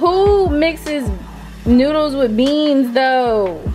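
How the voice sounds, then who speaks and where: Over clear music in the background, a woman talks in a high-pitched voice. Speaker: home vlogger. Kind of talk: casual vlog chat. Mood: amused, playful. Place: kitchen. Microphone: phone near.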